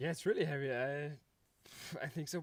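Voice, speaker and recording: A man's fairly high-pitched voice with a non-native accent and fairly even intonation. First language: not English. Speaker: paraclimber. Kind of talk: interview. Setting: live event showroom. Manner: halting.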